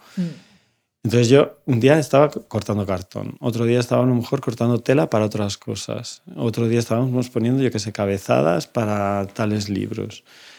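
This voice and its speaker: A man with a dark, mellow tone talks at a moderate pace, his pitch medium with ordinary variation. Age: 50s. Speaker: bookbinder. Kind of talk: casual chat. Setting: studio.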